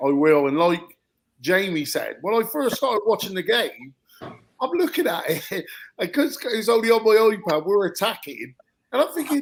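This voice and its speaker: The man talks in a high pitch at a moderate pace. His voice swings very widely up and down. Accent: strong Wiltshire. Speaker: football coach. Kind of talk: casual panel chat.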